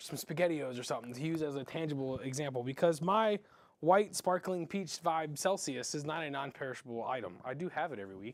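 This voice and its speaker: A man's fairly high voice at a fairly quick pace, full of lively intonation. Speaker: music store live stream host. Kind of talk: casual live stream product show. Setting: in-store stage, live stream. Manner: fast; stumbling, tongue-tied at times.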